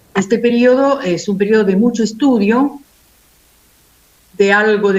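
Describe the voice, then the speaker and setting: Speaking at a fairly slow pace, a woman uses a fairly high pitch with ordinary variation. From Italy. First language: Italian (speaking Spanish). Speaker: philosophy professor. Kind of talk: panel discussion.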